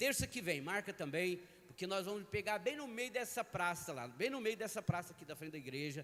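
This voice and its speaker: This man's high voice has a bright, sharp tone and swings very widely in pitch. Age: 60s. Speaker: pastor. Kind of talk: sermon. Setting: church.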